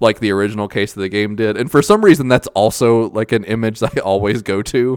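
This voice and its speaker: With a normal speaking voice, a man talks at a fairly quick pace and a medium pitch, with ordinary pitch variation. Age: 20s. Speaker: podcast host. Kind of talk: casual chat.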